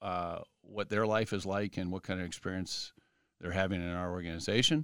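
Speaking at a fairly quick pace with a Midwestern American accent, a man with a very deep, low pitch keeps his intonation fairly even in a very clean recording with a silent background. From Columbus, Ohio, US Midwest. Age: 40s. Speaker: company CEO. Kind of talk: interview. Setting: studio. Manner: halting, many fillers.

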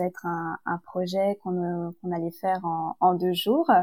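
A woman with an unremarkable speaking voice talks at a fairly slow pace, her pitch medium. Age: young. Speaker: business school student. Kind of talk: casual interview.

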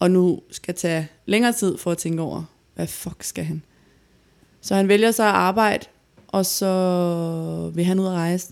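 In a monotone, flat intonation, a woman talks with her pitch at a medium level. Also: very clean recording, silent background. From Denmark, Gladsaxe near Copenhagen. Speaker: podcast co-host. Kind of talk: personal testimony.

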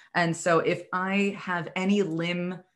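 A woman with an American accent and a fairly low pitch, an ordinary speaking voice, on a very clean recording with a silent background. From New York City area. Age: 30s. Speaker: chronic illness patient advocate and podcaster. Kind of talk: interview.

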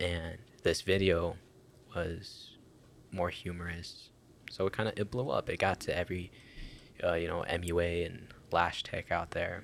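A man's very deep, low voice at a moderate pace, with monotone, flat intonation, long, frequent pauses, and a very clean recording with a silent background. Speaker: podcast host. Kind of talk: casual chat. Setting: studio.

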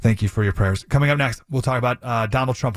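His intonation is lively. The man's voice sounds somewhat breathy. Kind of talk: radio host patter. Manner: conversational, warm, earnest; chatty, rambling, punchy when teasing segments.

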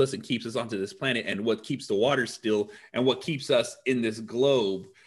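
Animated in tone, a man speaks at a moderate pace with lively intonation. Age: 30s. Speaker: podcast host. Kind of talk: casual interview.

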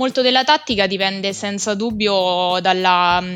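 Music plays in the background. A woman talks at a fairly slow pace with ordinary pitch variation. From central Italy (Rieti, Lazio). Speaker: podcast guest, women's football enthusiast. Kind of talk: casual discussion.

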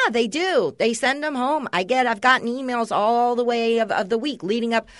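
Against a quiet background, a woman in an ordinary speaking voice talks at a fairly quick pace, fairly high in pitch, with ordinary pitch variation. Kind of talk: casual chat with wife, banter. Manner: jokey, rambling.

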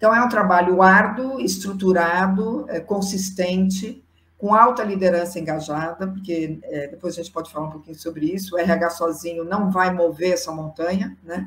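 A woman with an unremarkable speaking voice talks at a moderate pace and medium pitch, with ordinary pitch variation, big swings in loudness and hardly any pauses. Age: 60s. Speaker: psychologist and diversity consultant. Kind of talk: interview.

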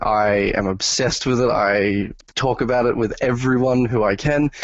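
A man is speaking with an Australian accent. His intonation stays fairly even. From Australia, New South Wales. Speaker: atheist podcast guest. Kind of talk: casual debate. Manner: halting, repeats words.

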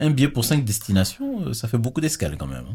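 The somewhat breathy voice moves at a fairly quick pace with very wide pitch swings, recorded very cleanly against a silent background. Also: man. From Togo. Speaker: podcast host. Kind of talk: casual chat.

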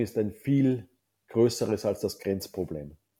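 A man's dark, mellow voice at medium pitch, with ordinary pitch variation and an Austrian accent. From Austria, Salzkammergut. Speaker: ice hockey league executive. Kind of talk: interview. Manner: hesitant, many filler sounds.

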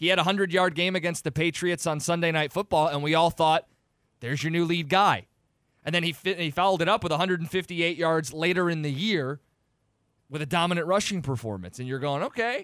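A very fast American accent from a man with a high voice and ordinary pitch variation. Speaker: sports radio co-host. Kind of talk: sports radio talk. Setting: studio.

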